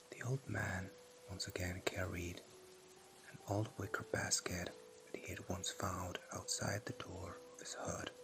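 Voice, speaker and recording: The tone is calm and the pace fairly slow, with noticeable background noise behind the voice. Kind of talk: ASMR story narration. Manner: soft, slow, calm.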